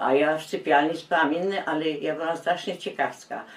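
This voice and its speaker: Noticeable background noise behind a woman's very deep, low voice at a moderate pace. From Poland, Kielce. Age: 80s+. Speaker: war survivor. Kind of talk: testimony. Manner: halting.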